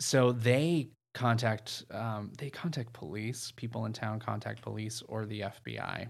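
A man speaks at a fairly slow pace and medium pitch with ordinary pitch variation. He uses a normal speaking voice and hardly any pauses. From New England, US. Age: 30s. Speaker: storyteller guest. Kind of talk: casual storytelling chat.

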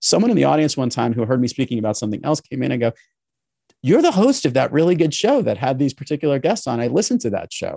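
Very fast, lively male speech with an American accent, fairly high in pitch yet dark and mellow in tone, dry and close with no echo. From New York City. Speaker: podcast host and business consultant. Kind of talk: interview. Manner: easygoing.

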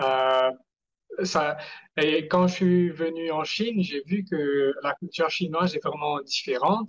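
This man speaks at a very slow pace with a fairly high pitch and ordinary pitch variation. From Mauritius. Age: 20s. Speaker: entrepreneur. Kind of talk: interview. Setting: video call. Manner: halting.

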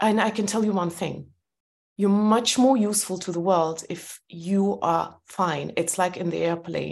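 Over a quiet background, a woman with vocal fry speaks at a fairly slow pace with fairly even intonation. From former Soviet Union. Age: 40s. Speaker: entrepreneur and author. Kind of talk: interview conversation.

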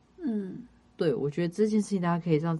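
This woman has an ordinary speaking voice at a fairly low pitch. Her intonation is lively and her pace moderate. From Taiwan, Kaohsiung. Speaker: podcast co-host, entertainment and arts industry worker. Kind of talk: casual chat.

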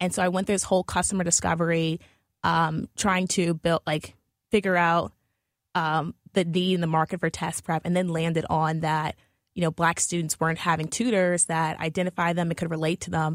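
In an American accent, a woman speaks at a fairly quick pace with a fairly low pitch and monotone, flat intonation, the sound dry and close with no echo. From New Orleans, Louisiana, US. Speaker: education startup founder. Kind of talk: radio interview. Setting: radio studio. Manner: hesitant, many fillers.

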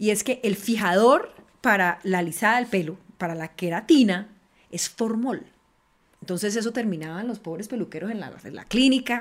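A woman speaks in a plain, everyday voice at a moderate pace and medium pitch. Her pitch varies in an ordinary way, while her loudness swings a lot. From Colombia, Valle del Cauca (Cali). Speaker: politician, congresswoman. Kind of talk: panel conversation.

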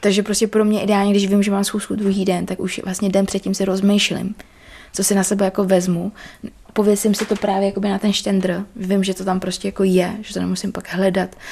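Monotone, flat intonation runs through a woman's dark, mellow voice. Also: medium pitch for a woman, fairly quick pace. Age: young. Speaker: chef and American football player. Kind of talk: casual chat. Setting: at her home.

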